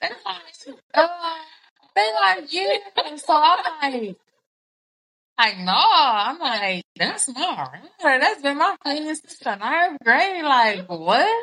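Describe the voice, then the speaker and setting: A woman's raised, projected voice, high-pitched with a bright, sharp tone, very wide pitch swings, big swings in loudness and a very slow pace. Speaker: podcast co-host. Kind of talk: casual chat.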